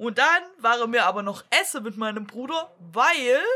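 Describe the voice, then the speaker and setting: A woman with a Swabian accent speaks fairly high in pitch, her tone bright and sharp and her intonation lively. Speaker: podcast co-host. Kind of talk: casual chat.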